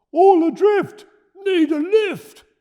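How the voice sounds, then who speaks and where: Bellowing in a put-on character voice, a man sounds squeaky at an extremely high pitch. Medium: read story. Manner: roaring.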